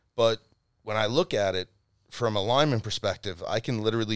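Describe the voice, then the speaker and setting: The delivery is fairly quick in a plain, everyday voice. The sound is dry and close with no echo, on a very clean recording with a silent background. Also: man. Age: 30s. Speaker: rugby coach and flag football player. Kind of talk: casual chat.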